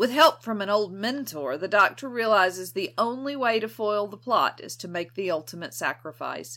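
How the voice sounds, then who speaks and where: A woman's bright, sharp tone with vocal fry and very wide pitch swings on a very clean recording with a silent background. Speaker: podcast co-host. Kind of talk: casual chat.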